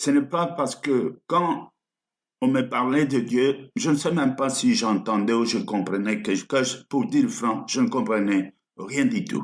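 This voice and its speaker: A man with a medium pitch speaks at a very slow pace, his pitch swinging very widely. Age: 70s. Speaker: pastor. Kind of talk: sermon.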